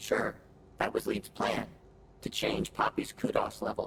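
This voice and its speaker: Clear background noise runs under a man doing a put-on character voice. He speaks at a moderate pace. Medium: video game. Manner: dry, sarcastic.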